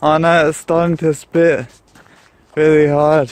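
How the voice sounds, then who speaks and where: With an Australian accent, a man speaks very slowly at a fairly high pitch. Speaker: vlogger. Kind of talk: casual vlog. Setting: outdoors, walking in rain.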